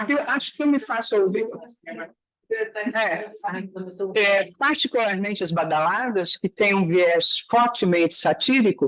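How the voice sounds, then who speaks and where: Speaking at a fairly slow pace with long, frequent pauses, a woman uses a fairly high pitch and lively intonation. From Brazil. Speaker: literary scholar. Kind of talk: academic seminar discussion.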